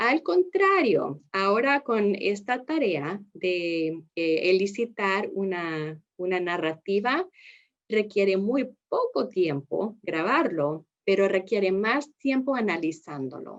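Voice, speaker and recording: A woman with a non-native accent speaks at a very slow pace with lively intonation. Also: medium pitch for a woman. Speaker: speech-language therapist, trainer. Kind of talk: lecture. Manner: halting.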